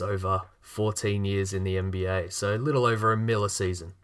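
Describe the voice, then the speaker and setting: This is a man with an Australian accent. His pitch sits fairly low. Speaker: podcast host. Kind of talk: casual chat.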